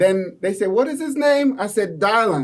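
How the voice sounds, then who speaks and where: In a high voice, a man talks with a non-native accent. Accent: noticeable foreign. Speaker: business owner. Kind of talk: casual interview.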